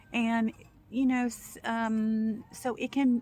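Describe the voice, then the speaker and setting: Here is a woman talking. There's a somewhat breathy quality to her voice. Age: 60s. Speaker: video blogger, former home care worker. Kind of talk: casual monologue.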